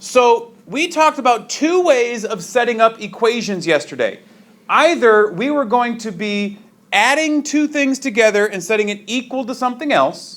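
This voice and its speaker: A man's extremely high-pitched voice carries lively intonation. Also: moderate pace. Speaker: high school math teacher. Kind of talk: classroom lecture. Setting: classroom with students.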